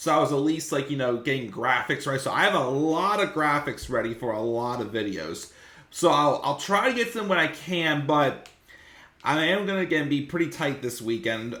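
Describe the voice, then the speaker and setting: A fairly quick pace and lively intonation amid audible room echo. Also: man. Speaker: wrestling YouTuber. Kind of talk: casual video review. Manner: fast.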